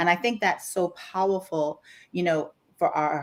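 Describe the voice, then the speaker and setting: With a Bahamian accent, a woman speaks at a fairly low pitch with ordinary pitch variation on a very clean recording with a silent background. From Bahamas, Grand Bahama. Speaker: life coach. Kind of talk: casual chat. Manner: animated.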